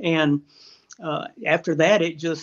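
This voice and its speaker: This man speaks with a Texan accent in a fairly high pitch and a monotone, flat intonation. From Texas, central hill country. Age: 60s. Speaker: retired magazine editor and hunter. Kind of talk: interview.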